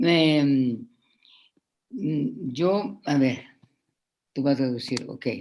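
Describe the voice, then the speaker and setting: A woman with a Spanish accent, a very deep, low pitch, a very slow pace and long, frequent pauses. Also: ordinary pitch variation. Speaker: symposium participant. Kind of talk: discussion remarks.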